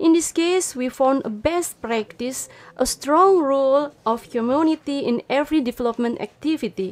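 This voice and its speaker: A woman speaks at a high pitch with lively intonation, going at a fairly slow pace with hardly any pauses. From Indonesia. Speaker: urban planner, trainee; radio guest. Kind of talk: self-introduction. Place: studio. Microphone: studio mic.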